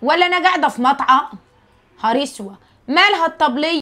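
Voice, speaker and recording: Projecting her voice, a woman speaks at a high pitch and a moderate pace with a bright, sharp tone and ordinary pitch variation. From rural Egypt. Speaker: social media creator. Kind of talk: casual monologue to viewers. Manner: animated.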